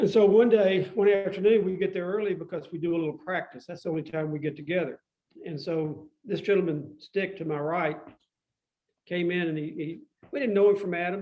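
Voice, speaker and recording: With a Tennessee accent, a man speaks fairly quickly in a high pitch, using ordinary pitch variation. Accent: Southern US (Tennessee). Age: 70s. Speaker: musician. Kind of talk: casual chat.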